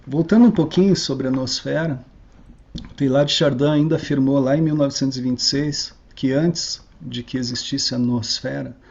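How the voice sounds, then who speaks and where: Noticeable background noise surrounds the recording. A man speaks at a moderate pace with fairly even intonation. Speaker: lecturer. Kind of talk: lecture.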